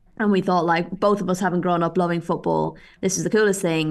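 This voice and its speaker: Against a quiet background, a woman talks at a fairly quick pace. Her fairly low voice stays monotone and flat. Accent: Irish. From Ireland. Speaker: football reporter and photographer. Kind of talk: interview.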